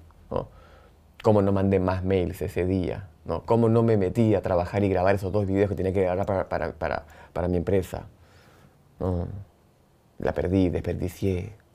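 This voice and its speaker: Against a quiet background, a man speaks at a moderate pace with long, frequent pauses. His very deep, low voice stays monotone and flat. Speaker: podcast host and entrepreneur. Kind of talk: personal monologue.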